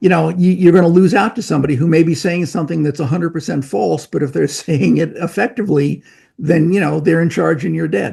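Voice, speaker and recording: A man with an American accent talks very fast at a fairly high pitch, with a dark, mellow tone. His voice has vocal fry and ordinary pitch variation. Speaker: medical professor and drug-safety researcher. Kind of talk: casual interview.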